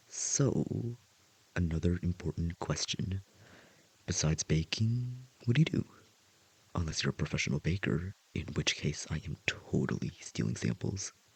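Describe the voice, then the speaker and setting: A soft-spoken man talks at a moderate pace with a very deep, low pitch, very wide pitch swings and a somewhat breathy sound. He leaves long, frequent pauses, and the sound is dry and close with no echo. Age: 20s. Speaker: voice actor. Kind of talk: audio roleplay. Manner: hesitant, shy.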